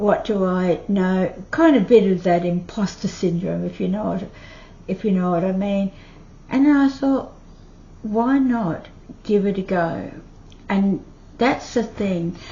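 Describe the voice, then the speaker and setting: A woman with an Australian accent speaks at a fairly slow pace, somewhat breathy, with lively intonation and long, frequent pauses. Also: medium pitch for a woman. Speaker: retiree YouTuber. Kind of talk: casual talk to camera.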